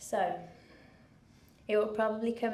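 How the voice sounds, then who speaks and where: A woman with a Brummie accent talks at a moderate pace. Noticeable background noise and audible room echo surround her voice. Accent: Birmingham (Brummie). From England, Birmingham. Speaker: charity founder. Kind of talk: speech to an audience. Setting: stage with audience.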